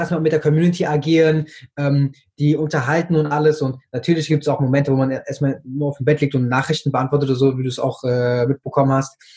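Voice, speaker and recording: His voice is fairly high-pitched for a man, with a dark, mellow tone and a somewhat breathy quality. He talks at a very fast pace with fairly even intonation. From Germany, Frankfurt am Main. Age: 20s. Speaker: TikTok creator. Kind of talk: interview. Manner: hesitant, many fillers.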